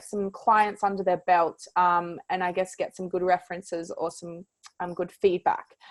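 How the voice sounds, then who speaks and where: With an Australian accent, a woman is talking. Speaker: podcast host, mindset coach. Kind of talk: video intro to camera; podcast interview.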